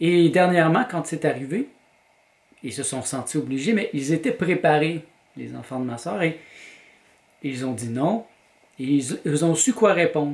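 A man's fairly high voice in a Quebec accent, with lively intonation, a fairly slow pace and long, frequent pauses. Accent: Québécois French. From Quebec, Montreal. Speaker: vlogger and graphic designer; vlogger. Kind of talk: personal vlog monologue. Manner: hesitant, with repetitions. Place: home room. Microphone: camera far.

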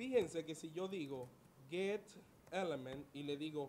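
A man's fairly high voice, slow in pace, with lively intonation.

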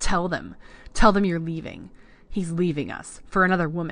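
A put-on character voice at a middle pitch and moderate pace comes with hissing over a quiet background. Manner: hissed, bitter, losing control.

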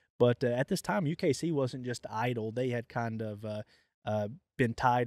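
A man's unremarkable speaking voice at medium pitch, in a very clean recording with a silent background and a dry, close sound with no echo. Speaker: podcast host and coonhound program manager. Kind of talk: casual interview.

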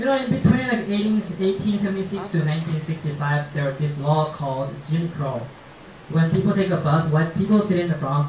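In a room with audible echo and light background noise, a man with a Japanese accent speaks fairly quickly at a high pitch. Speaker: stand-up comedian. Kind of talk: stand-up comedy routine. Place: stage.

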